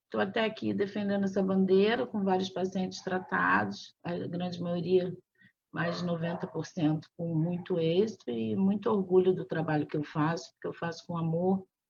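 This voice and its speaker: A somewhat breathy, fairly low female voice at a moderate pace, with ordinary pitch variation. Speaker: physician. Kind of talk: interview.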